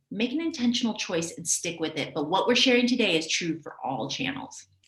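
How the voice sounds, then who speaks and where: A woman talks at a fairly quick pace in an energetic tone, her fairly high voice making very wide pitch swings. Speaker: video marketing coach. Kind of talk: live webinar teaching. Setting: livestream. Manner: fast.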